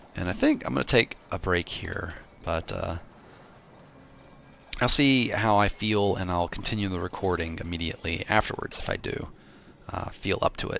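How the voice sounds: A raspy, put-on character voice moves at a moderate pace. Long, frequent pauses break it up. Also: man, fairly low pitch for a man.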